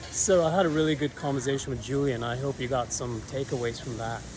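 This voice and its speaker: Against noticeable background noise, a man with an American accent talks at a fairly quick pace and a fairly high pitch, his intonation fairly even. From New York. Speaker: travel vlogger. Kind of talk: casual interview chat; vlog narration to camera.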